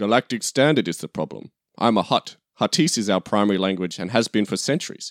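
A natural reading voice over a quiet background, its intonation lively

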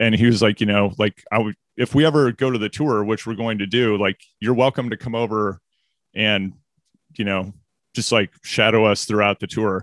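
A man with an American accent and an ordinary speaking voice talks at a moderate pace, fairly low in pitch, with fairly even intonation. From US Midwest, Missouri. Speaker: communications executive and podcast host. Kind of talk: casual interview.

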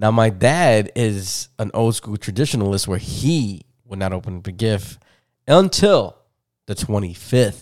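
Fairly low in pitch, a man with an unremarkable speaking voice talks at a fairly slow pace with ordinary pitch variation. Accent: American. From Chicago, Humboldt Park. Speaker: podcast host. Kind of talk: casual chat.

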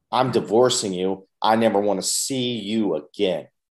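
In an unremarkable speaking voice, a man talks fairly slowly at a fairly low pitch with ordinary pitch variation. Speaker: podcast host. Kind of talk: casual interview.

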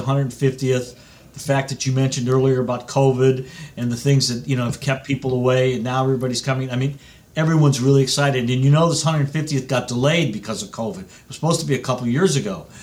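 Somewhat breathy and at medium pitch, a man rushes along at a very fast pace. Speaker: golf club executive. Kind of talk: radio interview. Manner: animated.

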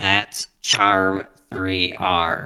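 The low-pitched voice is a put-on character voice.

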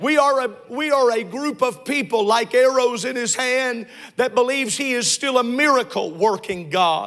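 Animated in tone, a man speaks at a moderate pace with an extremely high pitch and ordinary pitch variation. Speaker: pastor. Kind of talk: sermon. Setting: church with congregation. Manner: animated, call-and-response preaching; loud, fervent.

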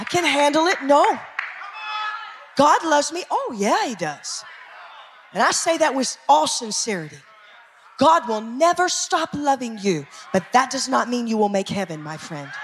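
An animated tone at a moderate pace, broken by long, frequent pauses, with noticeable background noise. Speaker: preacher. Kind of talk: sermon. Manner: animated, emphatic.

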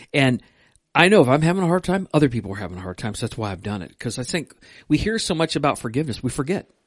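A man's fairly high voice with vocal fry, at a very fast pace and with very wide pitch swings. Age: 50s. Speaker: pastor, podcast co-host. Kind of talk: casual chat about faith. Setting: church stream room. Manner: hesitant, many fillers.

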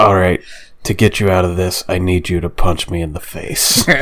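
Putting on a gruff character voice, a man speaks at a very deep, low pitch and a moderate pace over light background noise. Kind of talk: noir.

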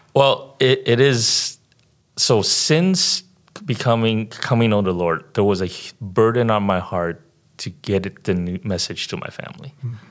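A man's normal speaking voice, with an American accent and lively intonation. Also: medium pitch for a man, fairly slow pace. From San Francisco Bay Area, California. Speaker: missionary. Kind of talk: interview.

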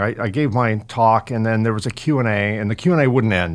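A normal speaking voice from a man with an American accent, medium pitch, ordinary pitch variation and a moderate pace. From California. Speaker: podcast host. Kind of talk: scripted narration; interview.

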